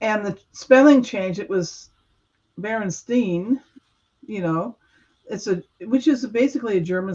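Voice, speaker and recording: A woman's somewhat breathy voice with an American accent, fairly slow and full of long, frequent pauses, with lively intonation. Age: 60s. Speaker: guest sharing Mandela effect experiences. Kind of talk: casual chat.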